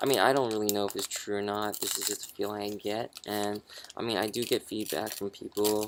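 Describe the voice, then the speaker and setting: Over noticeable background noise, a man with a fairly low pitch speaks in a flat monotone. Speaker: vlogger. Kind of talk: personal vlog monologue. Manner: halting, many fillers and restarts.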